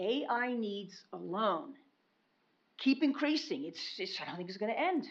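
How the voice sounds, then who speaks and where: This voice belongs to a woman. It is pitched fairly high. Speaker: public commenter. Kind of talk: public comment at meeting. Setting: county commission meeting. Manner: loud.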